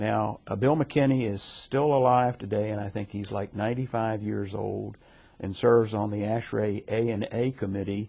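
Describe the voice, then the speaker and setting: A man with an American accent, fairly low in pitch and dark, mellow in tone, at a moderate pace with fairly even intonation. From Baltimore, Maryland. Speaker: retired engineer, former society president. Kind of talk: interview. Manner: hesitant, many fillers.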